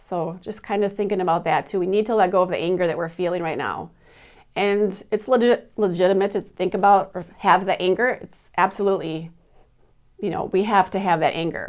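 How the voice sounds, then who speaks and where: At a fairly quick pace, a woman with a medium pitch speaks with fairly even intonation. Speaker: fitness instructor. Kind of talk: wellness talk to camera. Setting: office. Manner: fast.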